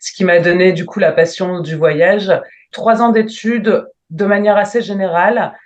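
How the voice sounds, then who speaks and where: This woman has an unremarkable speaking voice at a medium pitch. Her intonation stays fairly even. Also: fairly slow pace. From northern France, Lille. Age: 30s. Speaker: travel planner, entrepreneur. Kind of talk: interview.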